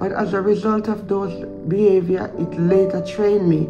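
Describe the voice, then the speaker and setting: As clear music plays in the background, a woman talks at a moderate pace. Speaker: vlogger. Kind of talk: casual advice vlog talk. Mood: calm, reflective. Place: home room. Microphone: phone near.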